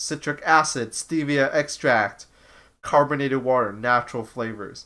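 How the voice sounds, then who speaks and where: Speaking at a moderate pace, a man with a medium pitch and a bright, sharp tone uses ordinary pitch variation. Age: 30s. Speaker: streamer. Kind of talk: casual chat. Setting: live stream. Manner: casual, halting with repetitions.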